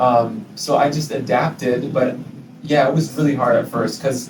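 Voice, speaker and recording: A man with an American accent speaks with audible room echo and noticeable background noise. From US Midwest, Minnesota. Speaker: English teacher living abroad. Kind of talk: interview. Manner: hesitant, many fillers.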